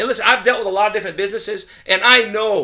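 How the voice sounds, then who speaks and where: The speaker uses a raised, projected voice with an animated tone. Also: man. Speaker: digital marketing consultant. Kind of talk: sales pitch. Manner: fast.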